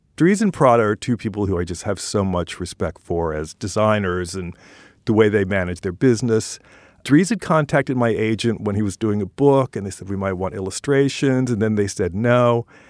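A man's fairly low voice, a plain, everyday voice, with ordinary pitch variation and a dry, close sound with no echo. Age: 60s. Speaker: illustrator. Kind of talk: interview.

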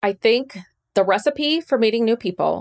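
A woman with an ordinary speaking voice at a moderate pace with ordinary pitch variation, dry and close with no echo, on a very clean recording with a silent background. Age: 40s. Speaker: friendship expert. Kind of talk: interview.

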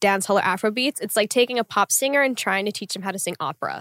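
With an American accent, a woman uses an ordinary speaking voice at a medium pitch with ordinary pitch variation, the sound dry and close with no echo. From Tulsa, Oklahoma. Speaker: guest, dancer and content creator. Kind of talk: casual chat.

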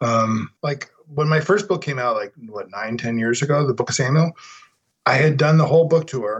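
This man has a somewhat breathy voice with a fairly high pitch. He speaks with an American accent. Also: ordinary pitch variation, moderate pace. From Denver, Colorado. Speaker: novelist and writing teacher. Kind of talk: casual chat. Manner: animated.

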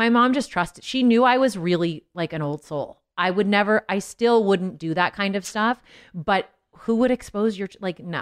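A woman with a General American accent speaks at a medium pitch and moderate pace with ordinary pitch variation, the sound dry and close with no echo on a very clean recording with a silent background. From Los Angeles, California. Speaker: singer and mom. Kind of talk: casual chat. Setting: studio.

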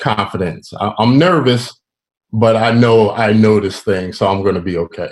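Speaking in a normal speaking voice with an American accent, a man keeps a moderate pace at fairly low pitch with ordinary pitch variation. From Philadelphia, US. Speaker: professional drummer. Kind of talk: casual interview chat.

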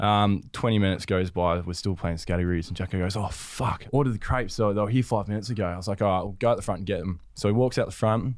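A man with an Australian accent talks at a very fast pace with hardly any pauses. His fairly low voice has ordinary pitch variation on a very clean recording with a silent background. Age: 20s. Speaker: professional footballer. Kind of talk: casual chat.

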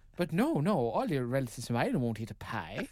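A man talks at a very fast pace with very wide pitch swings. Noticeable background noise runs behind him. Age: 30s. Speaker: radio producer. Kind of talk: casual chat.

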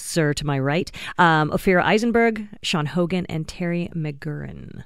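It is an unremarkable speaking voice with ordinary pitch variation. The recording is very clean, with a silent background. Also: woman. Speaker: comedy festival organizer and comic. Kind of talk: casual radio chat. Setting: studio.

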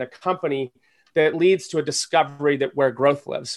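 A man's fairly quick delivery in a normal speaking voice, ordinary pitch variation, quiet background. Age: 40s. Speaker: entrepreneur and angel investor. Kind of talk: interview.

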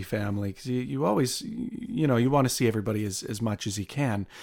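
With a Canadian accent and a plain, everyday voice, a man talks at a fairly quick pace and medium pitch in a very clean recording with a silent background. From Canada, Windsor, Ontario. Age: 30s. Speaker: airline pilot and musician. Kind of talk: interview storytelling.

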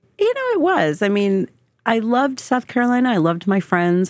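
Over a silent background on a very clean recording, a woman with an American accent and a normal speaking voice talks fairly quickly with lively intonation. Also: very even loudness. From New Jersey, US. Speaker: diversity and inclusion specialist. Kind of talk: interview.

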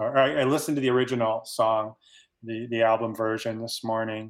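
This man talks at a medium pitch with fairly even intonation in an ordinary speaking voice. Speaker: fan guest. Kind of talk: casual chat.

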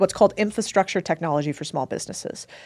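A woman with an ordinary speaking voice, medium pitch, and ordinary pitch variation, on a very clean recording with a silent background. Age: 30s. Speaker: investor and entrepreneur. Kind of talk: casual chat.

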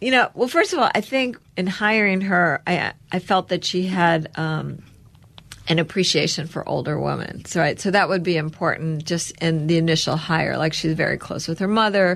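A woman speaks at a fairly low pitch with vocal fry. Her pace is moderate. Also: ordinary pitch variation. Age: 60s. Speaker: entrepreneur, company co-founder. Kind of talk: interview.

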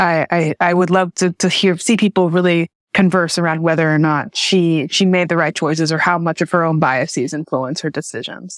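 A woman with an American accent and a normal speaking voice talks at a fairly low pitch and moderate pace, with very even loudness. The recording is very clean, with a silent background and a dry, close sound with no echo. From Jackson, Tennessee (US South). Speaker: novelist. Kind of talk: interview.

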